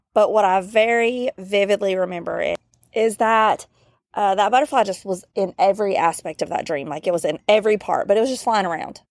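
A woman with a Southern US accent speaks at a medium pitch with ordinary pitch variation, in a dry, close, very clean recording with a silent background and no echo. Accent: Southern US drawl. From US South. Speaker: podcast host. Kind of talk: casual chat. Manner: casual, many fillers.

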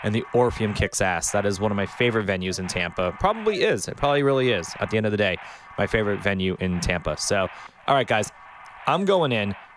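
With an American accent, a man talks at a very fast pace in a fairly low pitch with ordinary pitch variation, noticeable background noise behind him. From Miami Beach, Florida. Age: 40s. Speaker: podcast host and producer. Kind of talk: casual chat.

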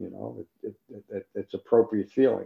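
The man talks at a fairly slow pace. The sound is dry and close, with no echo. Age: 60s. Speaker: meditation teacher. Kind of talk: dharma talk. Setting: video call.

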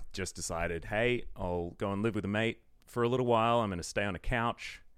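On a very clean recording with a silent background, a man is talking. He has a fairly low pitch and an Australian accent. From Australia, Melbourne. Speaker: esports commentator. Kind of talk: casual chat.

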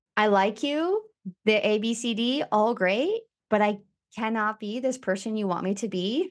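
Her pitch fairly high with ordinary variation, a woman speaks in an ordinary speaking voice in a very clean recording with a silent background. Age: 30s. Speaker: podcast host, interviewed as guest. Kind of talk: casual chat.

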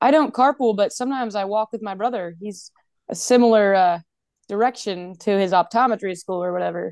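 Speaking at a fairly quick pace with an American accent and ordinary pitch variation, the voice sounds dry and close with no echo over a quiet background. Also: woman, medium pitch for a woman. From North Carolina. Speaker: dental student. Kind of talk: casual chat. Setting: video call. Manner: laughs a lot; loud.

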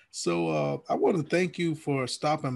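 A man's fairly high voice with an American accent against a quiet background. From Alabama. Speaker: podcast host. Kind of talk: scripted intro; casual interview. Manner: relaxed slangy.

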